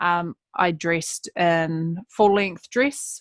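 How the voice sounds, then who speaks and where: A voice with a New Zealand accent has a dry, close sound with no echo over a quiet background. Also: woman. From New Zealand, West Coast of South Island. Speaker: public speaker and author. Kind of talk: podcast interview. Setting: podcast.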